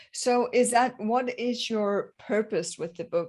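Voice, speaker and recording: A woman speaks with a non-native accent against a quiet background. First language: not English. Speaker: podcast host. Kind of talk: interview.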